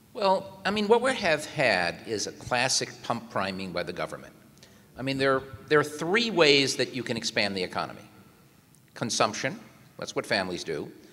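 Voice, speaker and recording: A man's medium-pitched voice with very wide pitch swings at a moderate pace, amid noticeable background noise. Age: 60s. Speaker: economics professor. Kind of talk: panel discussion.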